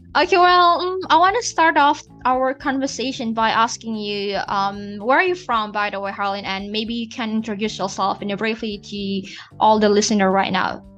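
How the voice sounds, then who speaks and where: Over music in the background, a woman speaks at a moderate pace with a fairly high pitch and lively intonation. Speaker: podcast host. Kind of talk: casual interview. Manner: halting.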